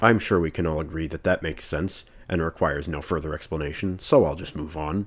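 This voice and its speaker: A man with a very deep, low pitch at a very fast pace, in a very clean recording with a silent background. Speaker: movie reviewer. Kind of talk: comedic video review narration. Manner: monotone.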